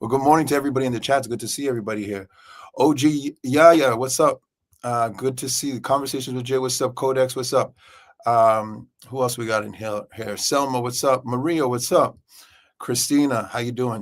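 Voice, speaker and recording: Very clean recording with a silent background, featuring a man's plain, everyday voice at medium pitch with fairly even intonation. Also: fairly quick pace. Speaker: livestream host. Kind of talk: casual livestream chat. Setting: office, live stream.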